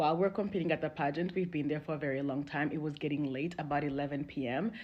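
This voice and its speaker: Very deep and low, a woman's voice moves at a very fast pace. Her intonation stays fairly even. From Congo. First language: not English (Congolese language/French). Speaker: relationship storyteller. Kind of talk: personal testimony.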